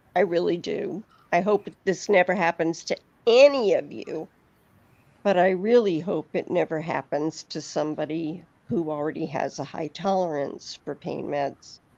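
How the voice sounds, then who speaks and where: The woman has an unremarkable speaking voice with fairly low pitch. She speaks at a moderate pace with ordinary pitch variation. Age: 60s. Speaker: YouTube live streamer. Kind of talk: casual chat. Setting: live stream.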